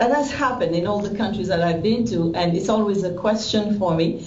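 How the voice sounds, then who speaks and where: A woman with a French accent at a moderate pace, ordinary pitch variation, audible room echo and noticeable background noise. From Haiti, then Belgium. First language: French or Haitian Creole. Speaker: visual artist. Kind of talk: interview. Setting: video call. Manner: halting.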